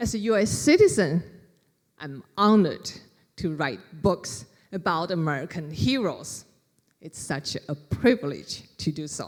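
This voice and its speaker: A woman with a fairly low pitch speaks slowly, leaving long, frequent pauses. Her pitch swings very widely and her loudness shifts a lot. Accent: Chinese. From China, Wuhan. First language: Chinese. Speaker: author. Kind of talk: library talk.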